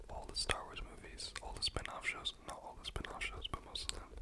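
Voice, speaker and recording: Someone speaks in a whisper. Noticeable noise sits in the background. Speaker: ASMR content creator. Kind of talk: ASMR whispered ramble. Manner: whispered, soft-spoken.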